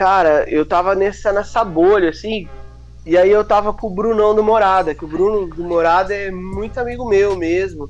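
A man speaks at a moderate pace with a high pitch. His intonation is fairly even. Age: 30s. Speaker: church musician. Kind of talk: casual chat.

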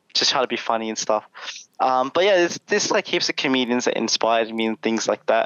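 With an Australian accent, a man talks at a very fast pace using lively intonation. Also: medium pitch for a man. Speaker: content creator. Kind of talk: casual chat. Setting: video call. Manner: animated.

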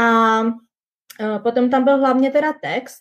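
Fairly even intonation carries speech that moves fairly slowly. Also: woman. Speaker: working holiday visa holder. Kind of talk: casual interview. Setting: video livestream.

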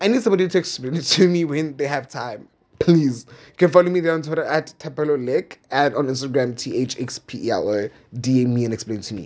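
This man's voice has an animated tone. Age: 20s. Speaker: podcast host. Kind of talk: casual monologue.

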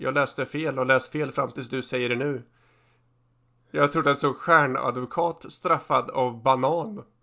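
An unremarkable speaking voice from a man at a medium pitch, with fairly even intonation. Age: 30s. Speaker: podcast co-host. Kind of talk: casual chat.

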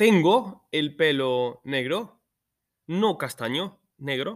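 A man's pitch swings very widely. He talks at a very slow pace. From Spain. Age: 30s. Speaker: Spanish teacher. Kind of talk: lesson recording for students.

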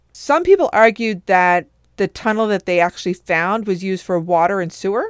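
In a Newfoundland accent, a woman speaks with ordinary pitch variation, her voice dry and close with no echo on a very clean recording with a silent background. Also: medium pitch for a woman, moderate pace. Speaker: podcast co-host. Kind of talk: casual chat; scripted narration.

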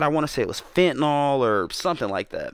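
A man speaks with a Southern US accent at a moderate pace and a fairly high pitch. The recording is very clean, with a silent background. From US South, Georgia (Atlanta area), born South Carolina. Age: 30s. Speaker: rapper and youtuber. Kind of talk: casual chat. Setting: studio.

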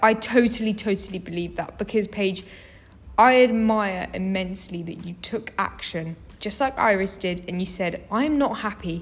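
A woman with a British accent speaks at a moderate pace and medium pitch, somewhat breathy, with ordinary pitch variation. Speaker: university student. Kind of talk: casual chat.

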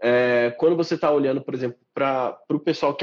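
This man speaks at a very fast pace in a regional Brazilian accent, with a fairly high pitch. His intonation is fairly even, and the sound is dry and close with no echo. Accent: noticeable regional Brazilian. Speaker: marketing professional and podcast host. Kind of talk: casual interview. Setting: online live stream.

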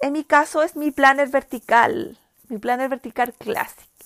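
A woman with high pitch and ordinary pitch variation at a moderate pace, with a dry, close sound, no echo, on a very clean recording with a silent background. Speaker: podcast host. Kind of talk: casual chat. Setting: home. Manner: halting.

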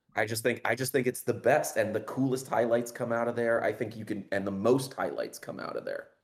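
This is an unremarkable speaking voice: a man at medium pitch with fairly even intonation. He moves at a fairly quick pace with hardly any pauses. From Los Angeles. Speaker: podcast guest. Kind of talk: casual chat. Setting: livestream over Discord.

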